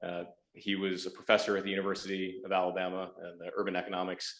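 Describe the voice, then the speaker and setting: Very deep and low in pitch, a man talks at a fairly quick pace with fairly even intonation. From Michigan. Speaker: startup founder. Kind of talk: pitch presentation to a board. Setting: board meeting.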